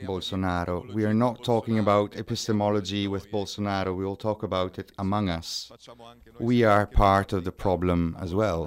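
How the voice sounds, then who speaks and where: A man with an Italian accent speaks in a fairly low pitch with fairly even intonation. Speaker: moderator, curator and activist. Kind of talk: moderated panel discussion. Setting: live event at a social centre.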